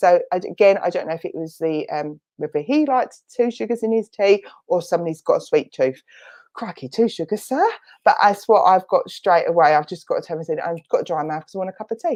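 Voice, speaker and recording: A woman speaks in a strong Essex accent with an animated tone. Her loudness swings widely. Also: fairly quick pace, quiet background. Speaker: spiritualist medium. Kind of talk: mediumship demonstration. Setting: online church service.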